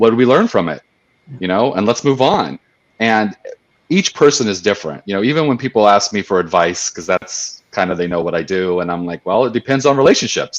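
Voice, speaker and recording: A man speaks with a normal speaking voice, fairly low in pitch, at a fairly quick pace with lively intonation, recorded dry and close with no echo against a quiet background. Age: middle-aged. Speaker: panel co-host. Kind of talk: casual panel discussion.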